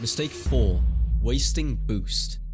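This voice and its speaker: There is vocal fry in this man's voice, along with lively intonation. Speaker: competitive gamer and coach. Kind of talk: gaming tutorial narration.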